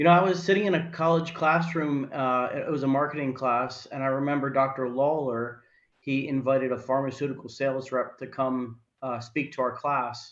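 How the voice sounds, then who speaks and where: A man's medium-pitched voice, fairly even in intonation, with a New Jersey accent at a moderate pace. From northern New Jersey, Morris County. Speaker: healthcare sales professional. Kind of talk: interview.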